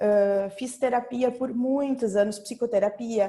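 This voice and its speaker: Speaking at a very slow pace, a woman with a dark, mellow tone and fairly high pitch uses ordinary pitch variation. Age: 40s. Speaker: executive, client giving testimony. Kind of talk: testimony.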